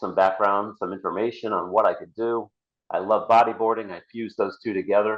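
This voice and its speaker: A man speaks in an ordinary speaking voice at a medium pitch. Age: 60s. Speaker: author. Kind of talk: casual interview.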